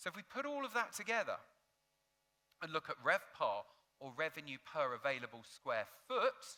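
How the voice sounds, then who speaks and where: In a raised, projected voice with a bright, sharp tone, a man with a British accent speaks at high pitch and a moderate pace, using very wide pitch swings and long, frequent pauses. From United Kingdom. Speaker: hotel industry data analyst. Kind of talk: conference presentation.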